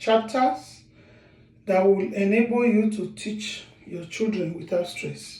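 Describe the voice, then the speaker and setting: A man with a Nigerian accent speaks at a very slow pace in a high pitch with ordinary pitch variation. Room echo is audible. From Nigeria, Edo State. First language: Edo. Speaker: author and language teacher. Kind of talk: language lesson; sales pitch.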